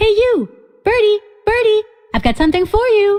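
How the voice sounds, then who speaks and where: A woman puts on a squeaky character voice at an extremely high pitch. She keeps a moderate pace with ordinary pitch variation. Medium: video game.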